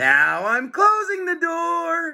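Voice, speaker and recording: A man's put-on character voice, extremely high-pitched and growling. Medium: read story. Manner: snarling.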